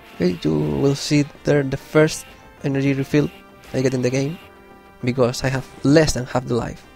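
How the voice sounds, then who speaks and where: With music in the background, a man talks at a moderate pace, broken by long, frequent pauses. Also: medium pitch for a man, ordinary pitch variation. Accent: non-native. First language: not English. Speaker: gamer commentator. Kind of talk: let's play game commentary.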